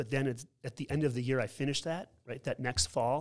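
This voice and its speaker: Here a man uses a normal speaking voice with an American accent, pitched in the medium range. He talks at a fairly quick pace with ordinary pitch variation. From New York. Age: 50s. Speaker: school principal. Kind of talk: casual interview conversation.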